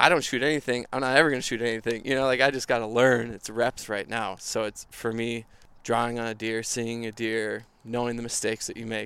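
A man in an Upper Midwest accent, medium-pitched and monotone with flat intonation, at a very fast pace on a very clean recording with a silent background. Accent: Upper Midwest American. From Minnesota. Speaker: photographer. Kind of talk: casual chat. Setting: outdoors around a bonfire.

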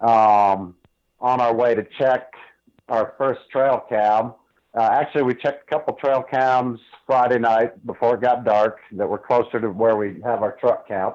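With an American accent and a plain, everyday voice, a man of medium pitch speaks at a fairly slow pace and with fairly even intonation. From Northeast Ohio. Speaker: elk hunter, construction worker. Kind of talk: interview. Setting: phone call.

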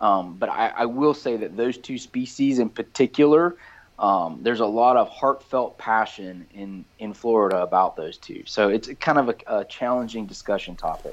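In an American accent, a man with a plain, everyday voice and a medium pitch talks at a moderate pace with hardly any pauses, ordinary pitch variation and big swings in loudness against a quiet background. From US South, rural South Georgia. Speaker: project scientist and conservation volunteer. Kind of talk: casual interview chat.

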